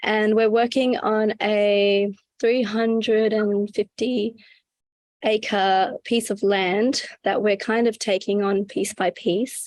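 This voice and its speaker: Against a quiet background, a woman with an Australian accent speaks at a fairly high pitch and a very slow pace. Her intonation is monotone and flat, and her loudness very even. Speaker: regenerative farmer. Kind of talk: casual interview.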